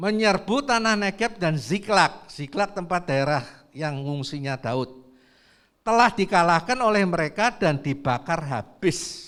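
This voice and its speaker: At a fairly slow pace, the voice makes very wide pitch swings in a very clean recording with a silent background. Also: man, high pitch for a man. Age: 70s. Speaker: preacher. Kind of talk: sermon.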